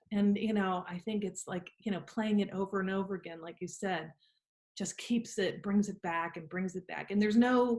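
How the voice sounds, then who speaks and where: A woman talks at a moderate pace in a medium pitch. Her voice is somewhat breathy, with fairly even intonation. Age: 60s. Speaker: interviewer, lawyer. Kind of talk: interview conversation.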